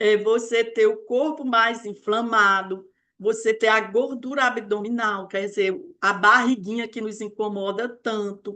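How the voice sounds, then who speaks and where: Fairly high in pitch, a woman talks in a normal speaking voice at a fairly slow pace. Her intonation stays fairly even. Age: 60s. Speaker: weight-loss mentor. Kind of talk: live online talk. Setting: live stream.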